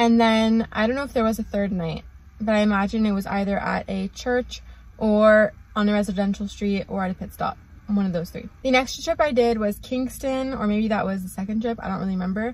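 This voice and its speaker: A woman's fairly quick, fairly even-toned speech, dry and without echo. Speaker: travel vlogger. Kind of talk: casual vlog chat. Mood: relaxed, light-hearted. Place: car. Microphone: phone near.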